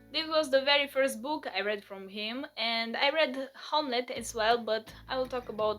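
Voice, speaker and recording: Music plays in the background as a woman speaks. Her voice is high, with ordinary pitch variation. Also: moderate pace, hardly any pauses. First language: not English. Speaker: book reviewer / video creator. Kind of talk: casual book review vlog.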